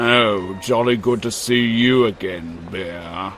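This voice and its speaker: Someone talks in a put-on character voice at a fairly slow pace. Music plays clearly in the background. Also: man, fairly low pitch for a man. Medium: machinima. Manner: posh and pompous.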